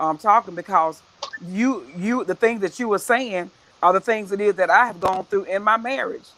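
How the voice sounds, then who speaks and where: Here a woman talks at a medium pitch and a moderate pace. Her tone is animated, with ordinary pitch variation. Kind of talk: casual chat. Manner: loud.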